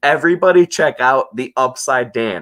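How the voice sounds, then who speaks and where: Vocal fry marks this man's voice as he speaks at a moderate pace. The recording is very clean, with a silent background. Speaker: livestream host. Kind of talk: casual livestream chat. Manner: halting, repetitive.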